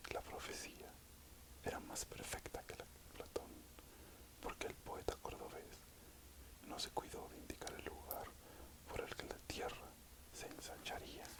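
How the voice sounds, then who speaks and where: A man whispers at a fairly slow pace, leaving long, frequent pauses. Background noise is noticeable. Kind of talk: ASMR audiobook reading. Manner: whispered.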